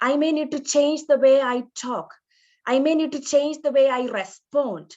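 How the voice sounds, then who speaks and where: Fairly slow pace, ordinary pitch variation and a quiet background. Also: woman. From India. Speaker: nurse educator. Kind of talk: lecture.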